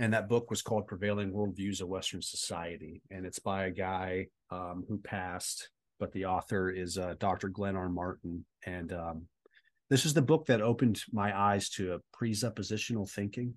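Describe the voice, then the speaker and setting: A man with an American accent speaks at a moderate pace and a fairly low pitch, with ordinary pitch variation. It is an unremarkable speaking voice over a quiet background. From Southern California. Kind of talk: interview testimony.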